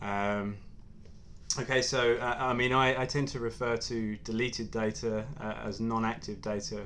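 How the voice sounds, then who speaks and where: A man with an English accent, with audible room echo. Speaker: mobile security engineer. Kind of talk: technical presentation. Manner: halting, many fillers.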